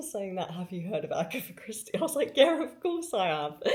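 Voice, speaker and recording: A woman amid noticeable background noise. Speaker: book vlogger. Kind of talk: casual vlog. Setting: outdoors on holiday during a thunderstorm. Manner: fast.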